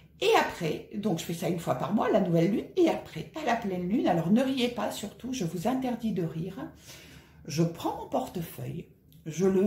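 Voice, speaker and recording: In a room with audible echo, a woman with a dark, mellow, somewhat breathy tone speaks at a medium pitch and a moderate pace with lively intonation. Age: 50s. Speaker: personal finance vlogger. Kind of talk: casual vlog tutorial. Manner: conversational.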